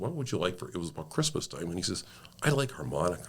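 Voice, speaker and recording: The speaker has an American accent and talks at a very fast pace. The voice shows vocal fry and very wide pitch swings. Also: man. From Sault Ste. Marie, Michigan/Ontario area (Great Lakes). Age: 60s. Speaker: car dealership owner and community volunteer. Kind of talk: casual interview storytelling.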